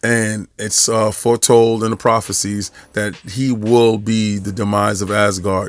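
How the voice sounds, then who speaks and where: With a New York accent, the speaker talks at a fairly slow pace in a monotone, flat intonation. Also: man. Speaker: podcast host, statue collector. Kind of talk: casual video review monologue. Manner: casual, many fillers and restarts.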